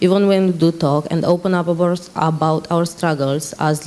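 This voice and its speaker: With noticeable background noise, a woman talks in a fairly low pitch with a monotone, flat intonation. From Romania. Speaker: panel moderator, Roma activist. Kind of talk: conference panel moderation. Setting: conference stage. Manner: halting.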